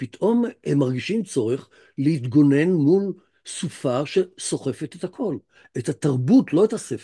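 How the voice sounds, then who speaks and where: The voice is somewhat breathy and dark, mellow in tone, moving at a fairly slow pace with very wide pitch swings over a quiet background. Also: man, fairly high pitch for a man. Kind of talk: lecture. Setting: video call. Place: home room. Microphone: video call.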